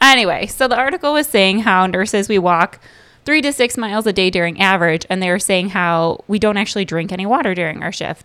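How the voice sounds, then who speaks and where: A woman with an American accent speaks at medium pitch and a fairly quick pace. Hers is an unremarkable speaking voice. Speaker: segment contributor, mother. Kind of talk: casual chat.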